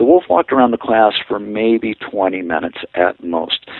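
An unremarkable speaking voice with an American accent, a moderate pace and ordinary pitch variation. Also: man. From northern Idaho and Colorado, US. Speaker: wolf sanctuary director. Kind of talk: interview.

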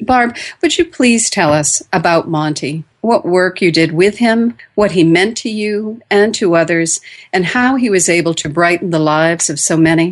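A normal speaking voice at a moderate pace, with ordinary pitch variation over a quiet background. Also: woman, fairly low pitch for a woman. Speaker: radio host. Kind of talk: radio host patter, show intro after break. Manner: polished, welcoming, clear and measured.

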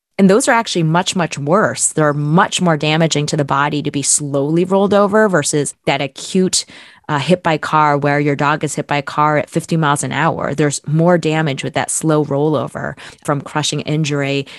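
With an American accent, a woman speaks at a moderate pace in a very deep, low pitch and fairly even intonation, recorded with a dry, close sound and no echo. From central New Jersey. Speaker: podcast host and veterinarian. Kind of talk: interview.

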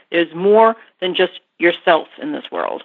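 This woman has an American accent. She talks at a moderate pace. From US Midwest, southwest Chicago suburbs. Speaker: pet products company founder. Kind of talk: interview. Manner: halting.

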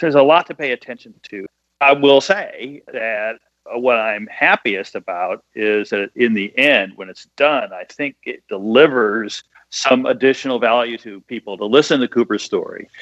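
A man at a moderate pace and medium pitch, with ordinary pitch variation, big swings in loudness, and a dry, close sound with no echo. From US Midwest. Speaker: bestselling author and screenwriter. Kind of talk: casual interview. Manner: clear enunciation.

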